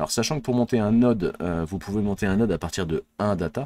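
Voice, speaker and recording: With a strong French accent, a man speaks in a dark, mellow tone at a fairly low pitch with ordinary pitch variation, in a dry, close sound with no echo on a very clean recording with a silent background. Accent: strong French accent on English words. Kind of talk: casual streamer talk.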